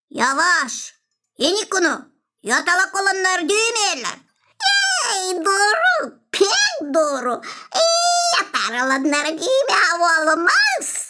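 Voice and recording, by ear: This is a squeaky, cartoonish character voice at an extremely high pitch. The delivery is very slow.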